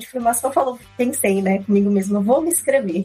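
Noticeable noise fills the background. Her pitch moves in an ordinary way as the woman talks. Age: 20s. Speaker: UX designer. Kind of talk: casual chat.

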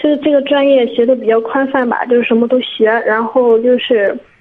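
Noticeable background noise sits behind a woman whose high-pitched voice keeps a fairly even intonation. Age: 20s. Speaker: caller seeking career advice. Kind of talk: call-in advice conversation. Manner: halting, many fillers.

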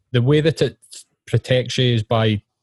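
With a Scottish accent and fairly even intonation, a man sounds somewhat breathy in a dry, close recording with no echo. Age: 30s. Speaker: podcast host and counsellor. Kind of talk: casual interview.

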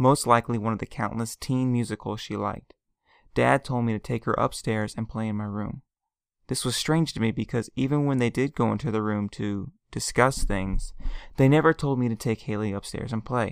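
A man with a normal speaking voice, medium pitch, fairly even intonation and a fairly quick pace, in a dry, close, very clean recording with no echo and a silent background. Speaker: self-published author reading own story. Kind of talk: audiobook reading aloud.

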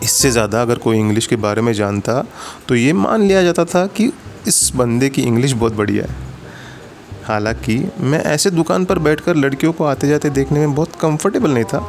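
This man talks with lively intonation over noticeable background noise. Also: medium pitch for a man. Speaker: storyteller. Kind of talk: storytelling narration.

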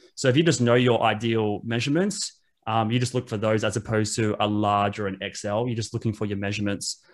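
Speaking at a very fast pace, a man uses a fairly low pitch with fairly even intonation. The recording is very clean, and the background is silent. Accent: Australian. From Australia, Wollongong. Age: 30s. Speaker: reseller and podcaster. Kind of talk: casual interview chat.

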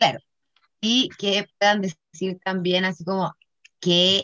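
A woman speaks at a fairly low pitch. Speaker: podcast co-host. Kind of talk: casual chat. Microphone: laggy connection.

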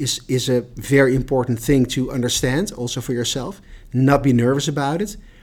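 Speaking in a plain, everyday voice, a man keeps a medium pitch, a fairly quick pace and fairly even intonation. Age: 50s. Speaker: HR director. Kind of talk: casual chat.

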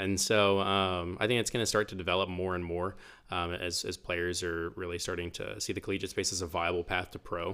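In an American accent, the speaker talks at a fairly quick pace with monotone, flat intonation. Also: man, very deep, low pitch for a man. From Oklahoma, Bartlesville. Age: 20s. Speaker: esports program director. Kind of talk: casual chat.

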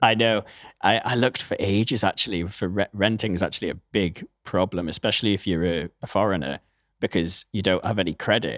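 A man with a British accent talks at a fairly quick pace with ordinary pitch variation. The recording is very clean, with a silent background. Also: dry, close sound with no echo. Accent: British, non-American. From Newcastle, northeast England. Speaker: audio engineer and musician. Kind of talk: casual interview. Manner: hesitant, many fillers.

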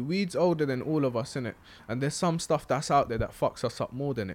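With a London accent, a man with a fairly high pitch speaks at a very fast pace with lively intonation. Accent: London Multicultural English. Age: 20s. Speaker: podcast co-host. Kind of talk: casual chat.

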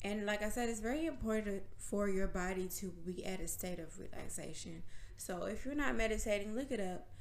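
A woman talks fairly quickly at a medium pitch with ordinary pitch variation, with audible room echo and noticeable background noise. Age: 20s. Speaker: podcast host. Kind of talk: casual monologue.

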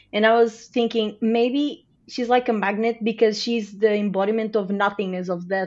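A fairly high-pitched woman with a Portuguese accent and fairly even intonation. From Portugal. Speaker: podcast guest, TV fan. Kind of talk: casual chat.

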